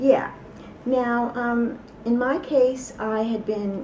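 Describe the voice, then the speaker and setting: With noticeable background noise and audible room echo, a woman speaks in a New York accent. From New York City. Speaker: ex-cult member. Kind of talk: interview testimony.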